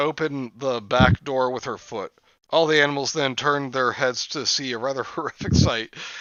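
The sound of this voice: An unforced reading voice, intonation held fairly even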